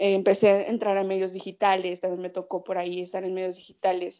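A woman at a medium pitch speaks with a Mexican accent. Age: 20s. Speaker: sports journalist. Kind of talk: casual chat.

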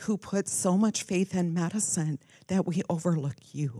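A woman's fairly low, dark, mellow and somewhat breathy voice, very slow in pace, with lively intonation and a dry, close sound free of echo. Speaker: medical professional, congregant. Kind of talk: testimony then prayer.

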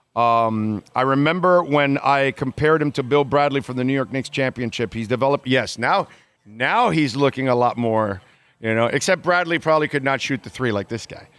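Over a silent background in a very clean recording, a man of medium pitch talks at a fairly quick pace with ordinary pitch variation. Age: 50s. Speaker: sports radio host. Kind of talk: casual talk radio. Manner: animated.

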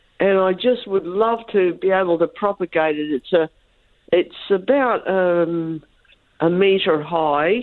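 With an Australian accent, a woman talks at a fairly slow pace, her fairly low pitch showing ordinary pitch variation. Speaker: caller. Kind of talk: radio call-in question.

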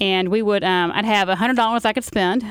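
With a Southern US accent, a woman talks at a medium pitch and fairly even intonation in a very clean recording with a silent background. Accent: Southern US (Georgia). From Carrollton, Georgia. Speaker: author. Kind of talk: casual political chat.

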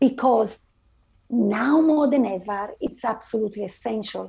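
A woman with an Italian accent speaks at a fairly slow pace in a fairly high pitch, with a dark, mellow tone, a somewhat breathy sound and lively intonation. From northern Italy. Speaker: finance and IT transformation leader. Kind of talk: interview.

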